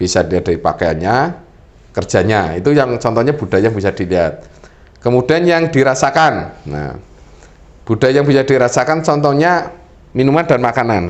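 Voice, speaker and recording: The speech moves at a fairly quick pace. Its pitch swings very widely. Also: man, medium pitch for a man. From Central Java, Purbalingga (Banyumas area). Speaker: government official, talk show resource person. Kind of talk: talk show explanation.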